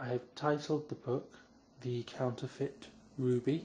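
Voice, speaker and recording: With a British accent, the speaker talks in a dark, mellow, somewhat breathy tone and flat, monotone intonation. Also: man. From England. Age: young. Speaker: author. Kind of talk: casual talk to camera.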